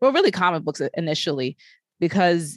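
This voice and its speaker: A woman's very deep, low-pitched voice, dry and close with no echo, over a quiet background. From Brooklyn, New York. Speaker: podcast host and tech journalist. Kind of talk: casual chat.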